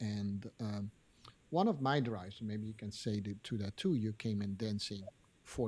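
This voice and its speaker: The man's voice is fairly low and somewhat breathy. He talks at a moderate pace. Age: 60s. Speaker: podcast host and dance teacher. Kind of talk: interview. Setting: live stream. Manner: halting.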